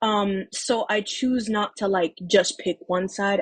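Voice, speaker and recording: Very slowly and somewhat breathily, a woman with a New York accent speaks at medium pitch with ordinary pitch variation, the sound dry and close with no echo. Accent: New York City. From New York City (Harlem, Manhattan). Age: 19. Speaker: makeup artist, first-time voter. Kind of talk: personal testimony interview. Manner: casual, hesitant with fillers.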